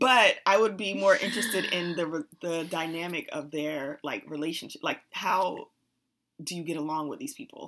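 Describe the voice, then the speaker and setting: A woman with an unremarkable speaking voice and a fairly low pitch talks at a moderate pace, her intonation lively and her loudness swinging widely. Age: 30s. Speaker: podcast co-host. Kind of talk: casual chat.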